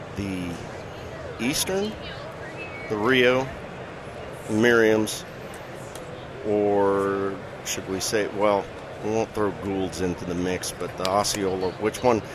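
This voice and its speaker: A man's fairly low voice at a very slow pace, with fairly even intonation and long, frequent pauses, over noticeable background noise. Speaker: bowhunting TV personality. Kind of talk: casual interview. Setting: trade show floor. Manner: jovial, laughs often.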